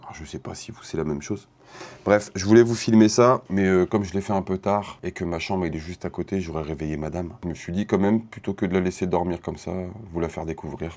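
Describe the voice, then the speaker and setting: Delivered at a very fast pace, the speech keeps fairly even intonation but swings widely in loudness. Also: man, very deep, low pitch for a man. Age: 40s. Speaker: beatmaker. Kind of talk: casual vlog.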